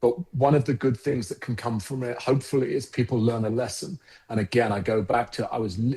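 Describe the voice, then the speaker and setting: With a South London accent, a man talks fairly quickly with hardly any pauses in a dark, mellow, somewhat breathy tone at medium pitch and ordinary pitch variation. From England, Croydon (South London). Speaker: advertising agency founder. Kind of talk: podcast interview.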